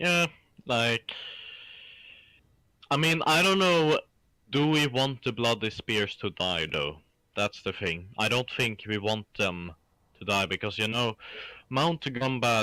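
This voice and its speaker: A man with a Swedish accent speaks at medium pitch in a bright, sharp tone, with lively intonation and very even loudness, at a fairly slow pace with long, frequent pauses. The sound is dry and close with no echo, in a very clean recording with a silent background. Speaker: gamer. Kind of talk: casual chat.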